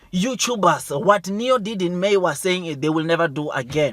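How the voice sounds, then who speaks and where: The recording has a dry, close sound with no echo as a man speaks at a high pitch and a moderate pace. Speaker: stock market YouTuber. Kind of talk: investment news commentary. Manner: loud; animated.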